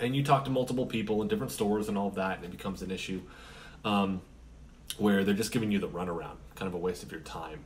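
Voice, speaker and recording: A man talks at a very fast pace with lively intonation and a fairly low pitch. Music plays in the background. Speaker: independent comic author. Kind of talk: casual vlog chat. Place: home room. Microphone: camera far.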